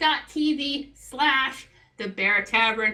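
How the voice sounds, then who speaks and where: Over noticeable background noise, a woman uses a raised, projected voice at a high pitch, her tone animated and her intonation lively. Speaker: live event commentator. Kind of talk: live commentary. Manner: loud.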